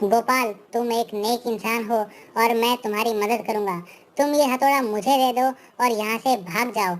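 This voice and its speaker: A female-sounding cartoonish character voice, fairly high-pitched, speaks at a moderate pace. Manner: instructive, urgent.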